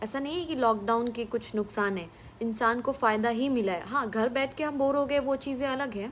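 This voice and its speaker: This woman has a high voice with a Bihari accent and ordinary pitch variation. She talks at a moderate pace with hardly any pauses. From Bhojpuri-speaking region of India. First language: Bhojpuri (speaking Hindi). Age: 20s. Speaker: film actress. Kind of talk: live stream Q&A with viewers. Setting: live stream from home. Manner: casual, with fillers.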